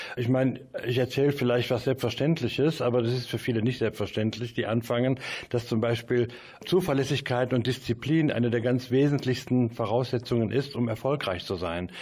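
A somewhat breathy man speaks at a fairly quick pace, with medium pitch and fairly even intonation. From Mönchengladbach, Lower Rhine, western Germany. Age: 60s. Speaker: music promoter. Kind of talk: interview. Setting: studio.

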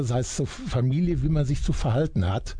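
This man's voice is fairly high, somewhat breathy and dark and mellow in tone. He talks at a moderate pace with lively intonation. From Germany, Iserlohn (Sauerland). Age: 60s. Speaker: retired journalist. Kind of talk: radio interview. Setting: radio studio.

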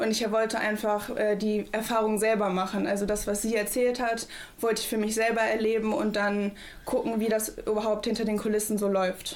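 A woman's fairly high-pitched, monotone, flat delivery at very even loudness, with audible room echo and noticeable background noise. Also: moderate pace. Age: young. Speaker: federal volunteer at a food bank. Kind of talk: radio interview.

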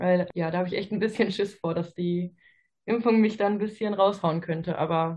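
At a moderate pace, a woman talks in a fairly low, somewhat breathy voice with fairly even intonation. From Ruhr area, Germany. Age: 20s. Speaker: physiotherapy trainee. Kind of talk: casual interview chat.

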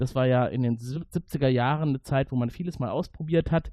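A man's dark, mellow tone at a fairly quick pace. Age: 40s. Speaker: podcast host. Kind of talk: casual chat.

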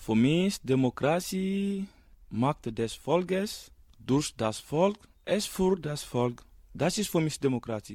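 A man speaks very slowly in a fairly high pitch with a dark, mellow tone and very wide pitch swings, on a very clean recording with a silent background. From Guinea. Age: young. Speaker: refugee youth. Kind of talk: radio interview.

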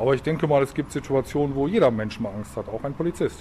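A man talks at a very fast clip in a medium pitch. His pitch rises and falls in an ordinary way. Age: 50s. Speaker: police officer. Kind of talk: interview answering children's questions. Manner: hesitant with fillers.

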